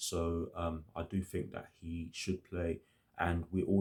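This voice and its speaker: In a monotone, flat intonation, a man with a very deep, low pitch speaks in a somewhat breathy voice. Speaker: football fan youtuber. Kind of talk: match preview monologue. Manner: hesitant, many fillers.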